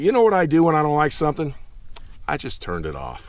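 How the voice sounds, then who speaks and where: A man speaks in an ordinary speaking voice. His intonation is lively and his pace fairly quick. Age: 50s. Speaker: bass fishing youtuber. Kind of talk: unscripted monologue. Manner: casual, conversational.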